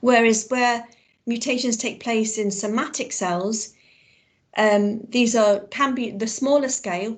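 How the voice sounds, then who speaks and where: A woman with an unremarkable speaking voice talks at a fairly slow pace and fairly high pitch with fairly even intonation. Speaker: biology teacher. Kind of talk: online lesson.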